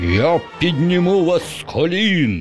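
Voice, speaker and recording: A man's shrill, high-pitched put-on character voice at a fairly slow pace, with faint music in the background. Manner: ranting, insane.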